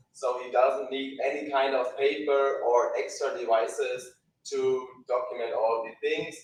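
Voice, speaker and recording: With audible room echo in the background, a man speaks at a fairly slow pace, his loudness swinging widely. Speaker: software product demonstrator. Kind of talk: live product demo.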